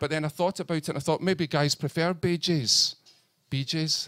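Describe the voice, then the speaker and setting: In a Scottish accent, a man speaks at a moderate pace and a fairly high pitch. The sound is dry and close with no echo. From northern Scotland. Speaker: comedian. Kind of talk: stand-up. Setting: stage with audience. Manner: halting.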